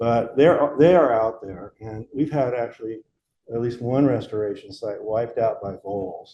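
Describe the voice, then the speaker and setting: A man's somewhat breathy, dark and mellow voice at medium pitch, with ordinary pitch variation and a moderate pace. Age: 70s. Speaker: restoration ecologist, invited speaker. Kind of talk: lecture Q&A. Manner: halting, many fillers.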